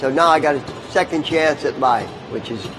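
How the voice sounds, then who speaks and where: Noticeable background noise surrounds a man speaking at a moderate pace with a fairly high pitch and fairly even intonation. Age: 60s. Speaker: tattoo artist and metal sculptor. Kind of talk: live demonstration talk. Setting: stage at a motorcycle show.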